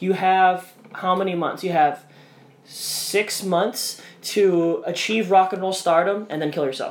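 A man's high-pitched voice at a fairly slow pace, with fairly even intonation and noticeable background noise. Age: 20s. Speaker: podcast co-host and editor. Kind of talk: casual chat.

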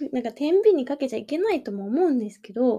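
Against a quiet background, a woman with a high pitch and dark, mellow tone speaks with very wide pitch swings. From Kanagawa, Japan. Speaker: podcast host, life coach and working mother. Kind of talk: casual solo podcast talk.

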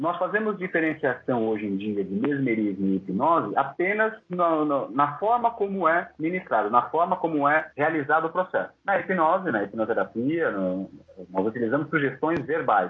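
A man talks with a fairly high pitch and very wide swings in it, keeping a moderate pace. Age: 30s. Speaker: hypnotherapist. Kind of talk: interview.

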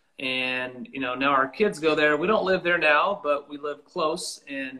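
A man with an American accent speaks in a normal speaking voice, fairly high in pitch, with lively intonation. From Lakewood, Washington, US Pacific Northwest. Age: 40s. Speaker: country musician. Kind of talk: casual interview chat.

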